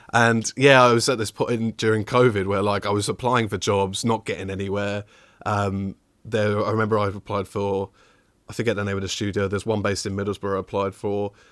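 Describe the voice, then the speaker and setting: In a very clean recording with a silent background and a dry, close sound with no echo, a man with a fairly low pitch talks at a fairly quick pace in a monotone, flat way. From southern England, southwest London. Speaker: technical audio designer. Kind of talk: casual interview chat.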